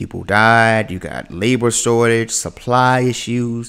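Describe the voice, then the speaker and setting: Animated in tone, a man with an American accent speaks at a medium pitch in a very clean recording with a silent background. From US South, the Carolinas. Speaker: content creator, reaction streamer. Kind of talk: live reaction stream. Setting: livestream.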